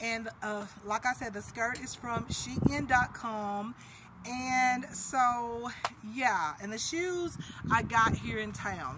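A woman is speaking. Noticeable background noise runs underneath her voice. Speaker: fashion vlogger. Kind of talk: casual vlog chat. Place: street. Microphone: phone near.

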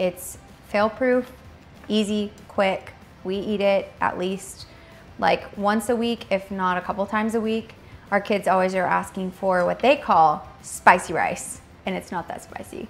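Music plays in the background as a woman speaks. Her pace is fairly slow and her intonation fairly even. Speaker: home cook host. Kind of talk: cooking tutorial. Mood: warm, cheerful. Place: kitchen.

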